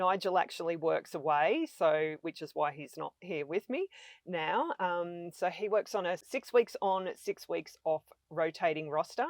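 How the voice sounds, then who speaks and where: An Australian accent from a woman, fairly low in pitch with ordinary pitch variation, at a fairly slow pace, in a dry, close sound with no echo. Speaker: van-life traveler. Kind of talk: podcast interview.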